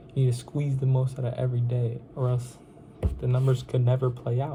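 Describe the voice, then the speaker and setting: At a very fast pace, a man speaks in a monotone, flat intonation, his medium-pitched voice dark, mellow and somewhat breathy. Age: young adult, 19. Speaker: insurance sales vlogger. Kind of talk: casual motivational vlog. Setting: at parents' home. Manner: casual, repetitive filler phrases.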